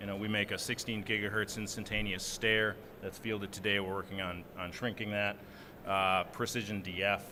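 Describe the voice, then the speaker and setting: In a Minnesotan accent, a man speaks at a moderate pace with a bright, sharp tone. The room echo is audible. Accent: Minnesota. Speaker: software engineer, panelist. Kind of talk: conference panel discussion.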